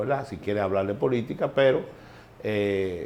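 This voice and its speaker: Speaking with a Dominican accent, a man uses a dark, mellow tone at a fairly quick pace. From Dominican Republic, San Cristóbal. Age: 60s. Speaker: former baseball executive. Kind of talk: interview. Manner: halting.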